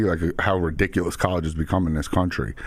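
A man in a New York accent. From Long Island and Queens, New York. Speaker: entrepreneur, moving business owner. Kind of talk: casual interview.

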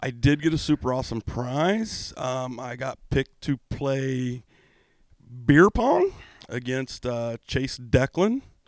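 Speaking at a very slow pace with ordinary pitch variation, a man is heard in a very clean recording with a silent background and a dry, close sound with no echo. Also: medium pitch for a man. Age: 40s. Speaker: hockey podcast co-host, military veteran. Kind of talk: casual chat. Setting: studio.

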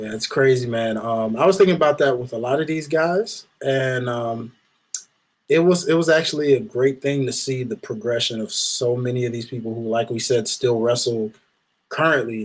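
The man has a plain, everyday voice at a medium pitch. He keeps a moderate pace with ordinary pitch variation. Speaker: wrestling podcast co-host. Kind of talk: casual chat. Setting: studio.

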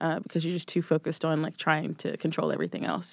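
With an American accent, a woman talks in a fairly low voice marked by vocal fry and fairly even intonation. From US South, suburban Nashville, Tennessee. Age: 20s. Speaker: singer-songwriter. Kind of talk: casual chat.

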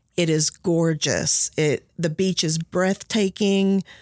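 A woman's fairly low-pitched, monotone voice with flat intonation and a Kentucky accent. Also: dry, close sound with no echo. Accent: Kentucky Southern. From western Kentucky (Henderson County). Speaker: college diversity coordinator, former teacher. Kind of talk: interview.

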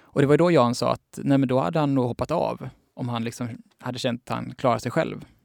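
A man with a plain, everyday voice at medium pitch, fairly even intonation and a fairly quick pace, in a dry, close sound with no echo and a very clean recording with a silent background. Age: 20s. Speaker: journalist and author. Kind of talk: casual interview chat.

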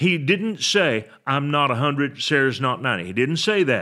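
This man's voice has a bright, sharp tone and lively intonation at a moderate pace. The recording is very clean and the background silent. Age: 60s. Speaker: pastor. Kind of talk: sermon.

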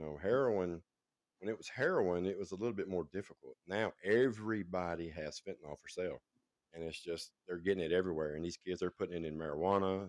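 A man's very deep, low voice at a very fast pace, with ordinary pitch variation and big swings in loudness, dry and close with no echo. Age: 40s. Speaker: caller, former drug addict. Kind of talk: testimony.

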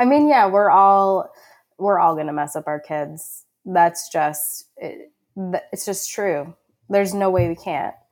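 A woman of medium pitch with an American accent, an unremarkable speaking voice and lively intonation, at a fairly slow pace on a very clean recording with a silent background. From Long Island, New York. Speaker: hunter education program manager. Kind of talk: casual chat.

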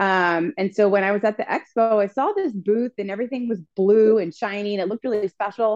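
A woman with an American accent and a normal speaking voice, medium pitch, fairly quick pace, hardly any pauses, dry, close sound with no echo. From US East Coast, Washington DC. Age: 40s. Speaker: amateur marathon runner. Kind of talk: casual chat.

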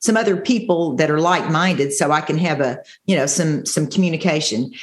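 A woman speaks at a fairly quick pace with a fairly low pitch. Hers is an unremarkable speaking voice. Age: 60s. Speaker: bodybuilding competitor. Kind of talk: interview.

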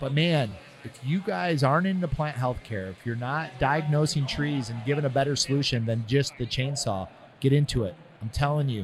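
A man talks with lively intonation at a fairly high pitch, his voice somewhat breathy. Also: moderate pace. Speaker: podcast host. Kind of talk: casual interview chat. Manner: casual, enthusiastic.

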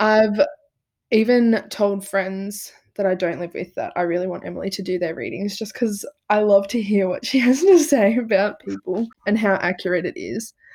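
With an Australian accent, a woman speaks at a moderate pace in a medium pitch, her pitch varying in an ordinary way. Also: very clean recording, silent background. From rural north-east Victoria, Australia. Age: 20s. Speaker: podcast host, psychology student. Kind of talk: casual chat.

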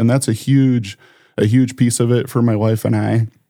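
The voice has an Upper Midwest accent and a dark, mellow tone. It moves at a fairly quick pace with monotone, flat intonation. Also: man. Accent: Upper Midwest American. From South Dakota, Sioux Falls. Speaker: financial planner and community volunteer. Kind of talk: casual interview.

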